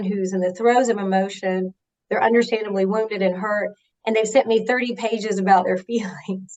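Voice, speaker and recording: A woman speaks at a fairly quick pace. Her pitch is medium, with fairly even intonation. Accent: Southern US. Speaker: HR executive. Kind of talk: interview.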